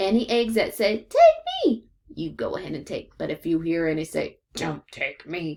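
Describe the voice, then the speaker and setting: A woman's growling, put-on character voice with very wide pitch swings. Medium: read story. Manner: folksy, patient.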